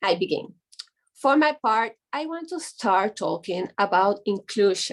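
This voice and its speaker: A woman's fairly high voice with a Spanish accent, very slow delivery and lively intonation. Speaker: image consultant. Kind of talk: reading aloud. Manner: halting.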